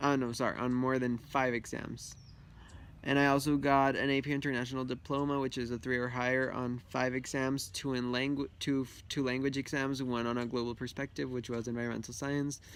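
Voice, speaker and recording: On a very clean recording with a silent background, a man with a Spanish accent talks at a fairly quick pace in a monotone, flat intonation. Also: medium pitch for a man. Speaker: student vlogger. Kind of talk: casual vlog monologue. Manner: hesitant with many fillers.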